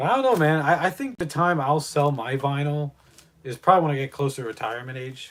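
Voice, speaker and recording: With an ordinary speaking voice, a man talks at a fairly quick pace and a fairly high pitch, using ordinary pitch variation and big swings in loudness. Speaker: live streamer and record collector. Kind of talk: casual livestream chat.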